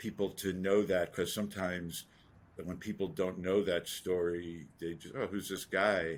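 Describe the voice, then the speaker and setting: A man with a very deep, low pitch speaks in an American accent at a fairly slow pace. His intonation is fairly even, on a very clean recording with a silent background. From US Northeast (New York City). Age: 60s. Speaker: entrepreneur and investor. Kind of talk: interview.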